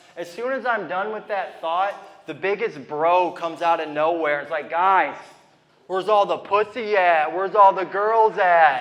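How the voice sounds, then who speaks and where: A man talks at a moderate pace in a high voice with ordinary pitch variation. There is noticeable background noise. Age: 30s. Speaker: stand-up comedian. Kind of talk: stand-up.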